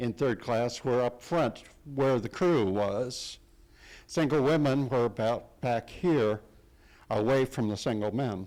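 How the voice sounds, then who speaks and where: A man with an American accent at a medium pitch, ordinary pitch variation and a very slow pace, on a very clean recording with a silent background. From Ohio, US Midwest. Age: old. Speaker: guest speaker, descendant of survivors. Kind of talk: lecture. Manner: loud.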